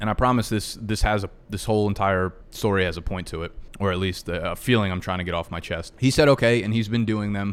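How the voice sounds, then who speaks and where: Speaking at a fairly quick pace with hardly any pauses, a man uses a fairly low pitch and ordinary pitch variation. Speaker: YouTuber and podcast host. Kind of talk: solo monologue podcast. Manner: casual, conversational.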